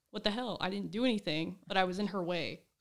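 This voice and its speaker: On a very clean recording with a silent background, a woman talks at a very fast pace, her medium pitch showing ordinary variation. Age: 20s. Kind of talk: casual chat.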